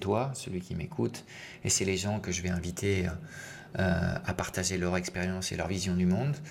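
Speaking at a moderate pace, this man has a very deep, low voice. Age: 50s. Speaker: podcast host and business coach. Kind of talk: solo podcast monologue. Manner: halting, with many fillers.

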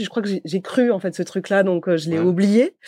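In a very clean recording with a silent background and a dry, close sound with no echo, a woman speaks at medium pitch with a dark, mellow tone. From southern France, Montpellier. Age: 30s. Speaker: company co-founder and CEO. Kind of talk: podcast interview.

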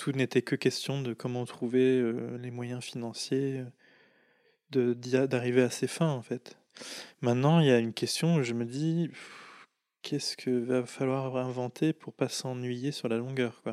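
Very slow, monotone, flat speech from a man on a very clean recording with a silent background. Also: medium pitch for a man. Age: 30s. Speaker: draughtsman and painter. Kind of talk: casual interview conversation. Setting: indoors over tea in Paris. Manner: hesitant, many fillers and repetitions.

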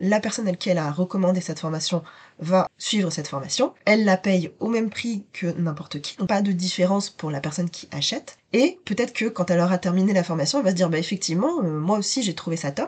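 A woman's somewhat breathy, medium-pitched voice at a very fast pace, with hardly any pauses, ordinary pitch variation and a quiet background. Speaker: business mentor podcast host. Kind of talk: solo podcast monologue.

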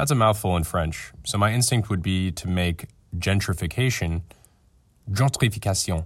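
On a very clean recording with a silent background, a man talks at a moderate pace. His voice is fairly low and somewhat breathy, with ordinary pitch variation. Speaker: podcast company executive. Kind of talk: scripted narration.

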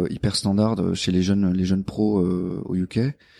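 On a very clean recording with a silent background and a dry, close sound with no echo, a man with a fairly low pitch and a dark, mellow tone talks at a fairly slow pace. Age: 30s. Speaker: engineer and operations manager. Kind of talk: interview. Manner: hesitant with fillers.

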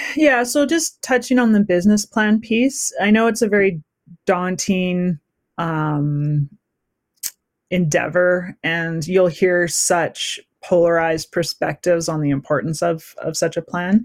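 A woman with a Canadian accent has an unremarkable speaking voice, fairly low in pitch, with lively intonation at a fairly slow pace. The recording is very clean, with a silent background and a dry, close sound with no echo. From western Canada. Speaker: entrepreneur. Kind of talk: interview.

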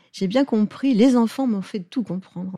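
A woman's voice in a dry, close sound with no echo, amid noticeable background noise. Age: 70s. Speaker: pediatric osteopath. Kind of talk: interview. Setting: osteopathy practice in Lyon.

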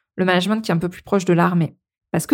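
A woman talks at a medium pitch with ordinary pitch variation, in a plain, everyday voice. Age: 40s. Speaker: podcast host and management coach. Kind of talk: solo podcast monologue.

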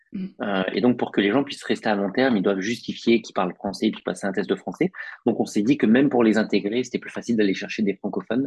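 A man with a fairly low pitch and ordinary pitch variation talks at a very fast pace. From northern France, Picardy. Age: 30s. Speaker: recruiter. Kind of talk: podcast interview.

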